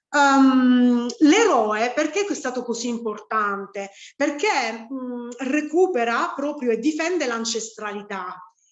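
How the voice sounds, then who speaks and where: A woman's high voice, very slow and lively in intonation, with audible room echo. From Sicily. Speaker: spiritual teacher. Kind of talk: online lecture. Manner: halting, many fillers.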